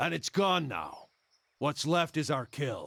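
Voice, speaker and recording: A man uses a raspy, put-on character voice at a fairly high pitch and a fairly slow pace on a very clean recording with a silent background. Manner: cold, menacing bad guy.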